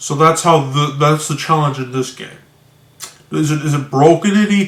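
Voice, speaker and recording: A man speaks with fairly even intonation. His pitch is fairly high. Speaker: video blogger discussing games. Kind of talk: casual monologue commentary. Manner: slow; halting, many restarts.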